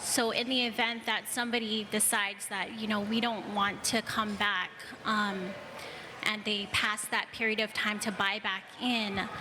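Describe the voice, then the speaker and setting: A woman talks at a fairly slow pace in a flat monotone, her loudness very even, over noticeable background noise. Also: fairly high pitch for a woman. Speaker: audience member. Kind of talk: audience contribution at panel Q&A.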